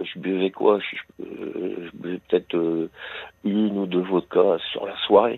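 Speaking is very slow and unhurried. Frequent, lengthy pauses break it up. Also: man. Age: 60s. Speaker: radio caller. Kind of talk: phone-in testimony. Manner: halting; more animated when talking about choir.

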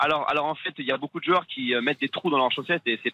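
Ordinary pitch variation marks this man's speech at a very fast pace. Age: 20s. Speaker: football referee. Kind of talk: interview.

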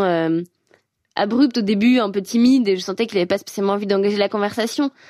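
Speaking at a very fast pace with ordinary pitch variation, this voice comes through on a very clean recording with a silent background. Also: woman. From France, Savoie mountains. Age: 20s. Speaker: climate activist. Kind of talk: personal testimony. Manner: hesitant, many fillers.

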